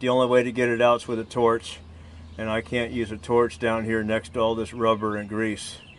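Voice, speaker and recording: Here a man talks. He keeps a moderate pace. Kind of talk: tutorial. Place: open country.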